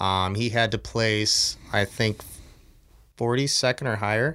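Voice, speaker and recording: At a fairly slow pace, a man uses a normal speaking voice with fairly even intonation in a very clean recording with a silent background. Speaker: fishing buddy guest. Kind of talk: casual chat.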